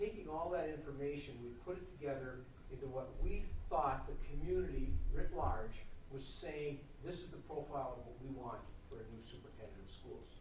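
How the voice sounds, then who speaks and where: Speaking at a fairly quick pace, a man varies his loudness widely amid audible room echo and light background noise. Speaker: presenter. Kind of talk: formal report to a meeting. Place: hall. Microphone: camera far.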